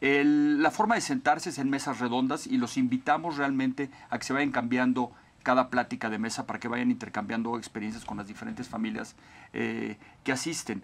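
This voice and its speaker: Pitch variation is ordinary. The speech moves at a fairly quick pace. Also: man. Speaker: business event organizer. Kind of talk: interview. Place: studio. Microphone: lapel.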